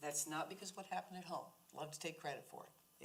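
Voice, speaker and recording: A woman with an American accent speaks at a moderate pace in a somewhat breathy voice. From California. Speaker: library board member. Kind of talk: board meeting discussion. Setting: public board meeting.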